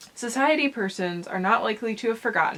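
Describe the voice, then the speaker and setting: Noticeable background noise sits behind speech delivered at a moderate pace with ordinary pitch variation. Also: woman. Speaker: transmasculine vlogger. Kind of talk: reading aloud; casual vlog talk. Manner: halting, with fillers and self-corrections.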